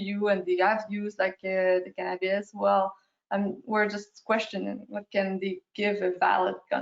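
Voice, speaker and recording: At a moderate pace, a woman with a strong French accent speaks at a medium pitch. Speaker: periodontist. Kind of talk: lecture. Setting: video call.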